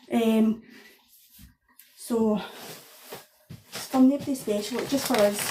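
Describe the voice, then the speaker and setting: A woman with a strong Scottish accent, fairly high pitch, fairly even intonation, fairly slow pace, long, frequent pauses, and big swings in loudness. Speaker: home cook. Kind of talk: cooking tutorial. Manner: casual, hesitant with fillers.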